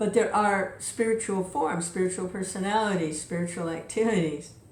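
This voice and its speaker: In a room with audible echo and noticeable background noise, a woman speaks at a moderate pace and medium pitch with ordinary pitch variation. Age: 70s. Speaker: devotional reader and speaker. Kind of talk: spiritual talk. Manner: casual.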